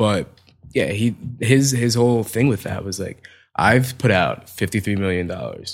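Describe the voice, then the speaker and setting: At a moderate pace with ordinary pitch variation, a man speaks at medium pitch in an ordinary speaking voice, in a very clean recording with a silent background. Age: 20s. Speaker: fashion photographer. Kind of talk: casual chat.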